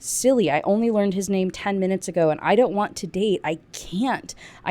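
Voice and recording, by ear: A natural voice reading aloud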